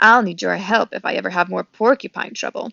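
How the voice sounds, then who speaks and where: A woman's growling, put-on character voice at a medium pitch and a fairly quick pace. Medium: read story.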